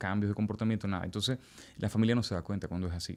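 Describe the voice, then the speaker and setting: A man speaks with a Venezuelan accent. His pitch is fairly low, with ordinary pitch variation. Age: 40s. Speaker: testimony guest. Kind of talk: testimony.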